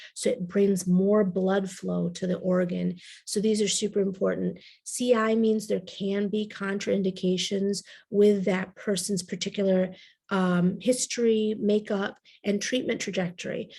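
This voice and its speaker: A somewhat breathy voice with a dark, mellow tone and monotone, flat intonation sits on a very clean recording with a silent background. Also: woman. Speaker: naturopathic integrative oncology doctor. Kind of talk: health lecture to audience. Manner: casual, conversational.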